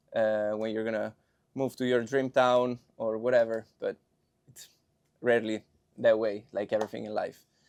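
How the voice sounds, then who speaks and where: In an Italian accent, a man with a medium-pitched voice talks at a moderate pace, the sound dry and close with no echo. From Milan, Italy. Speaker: film student. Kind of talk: casual chat.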